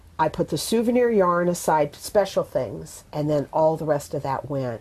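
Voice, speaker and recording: Speaking at a moderate pace with an American accent, a woman uses a very deep, low pitch and lively intonation. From US Pacific Northwest (Bellingham, Washington). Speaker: full-time RVer. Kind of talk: interview.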